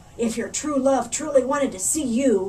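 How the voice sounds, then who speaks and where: In a put-on character voice, a woman growls at a high pitch and a moderate pace, with clear background noise behind her. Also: ordinary pitch variation. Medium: read story. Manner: sneering, sly.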